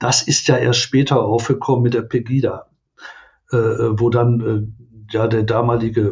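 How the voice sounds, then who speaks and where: At a fairly slow pace, a man speaks at a medium pitch in a monotone, flat intonation. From Ruhr area, Germany (Oberhausen). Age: 60s. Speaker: welfare association director. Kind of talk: interview conversation.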